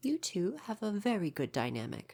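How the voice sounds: A woman does a put-on character voice with vocal fry, a slightly mellow tone and big pitch swings.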